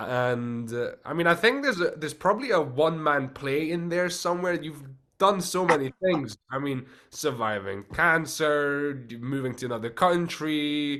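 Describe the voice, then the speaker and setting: A man with a slight non-native accent speaks at a moderate pace, his fairly high pitch showing ordinary variation. His tone is bright and sharp. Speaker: podcast host, actor. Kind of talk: podcast interview.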